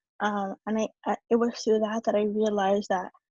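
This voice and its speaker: Dry and close with no echo, a woman's voice sits fairly high, with a dark, mellow tone and a somewhat breathy quality. She speaks at a moderate pace in a monotone, flat intonation. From New York City. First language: Spanish. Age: 20s. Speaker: youth activist. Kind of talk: talk to an audience. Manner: halting, many fillers and repeats.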